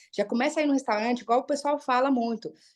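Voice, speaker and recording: Over a quiet background, a woman talks in an animated tone. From Brazil, Minas Gerais (Uberlândia). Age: 30s. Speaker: psychologist and motivational speaker. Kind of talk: motivational talk in a live online group session.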